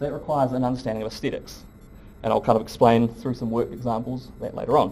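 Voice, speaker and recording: A man with a New Zealand accent speaks very fast in a dark, mellow tone with monotone, flat intonation and audible room echo. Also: medium pitch for a man. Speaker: professor. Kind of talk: lecture. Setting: lecture hall with audience.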